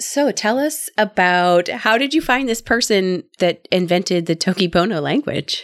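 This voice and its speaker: A woman with a Midwestern US accent speaks at a moderate pace in a medium pitch, her voice swinging very widely up and down with hardly any pauses, on a very clean recording with a silent background. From US Midwest. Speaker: podcast host.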